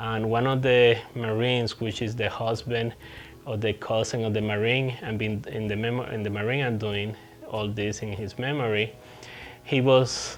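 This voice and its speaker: A man with a Puerto Rican accent speaks at a moderate pace with fairly even intonation against noticeable background noise. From Puerto Rico. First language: Spanish. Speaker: veteran hiker vlogger. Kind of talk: casual vlog update. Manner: halting, hesitant with repetitions.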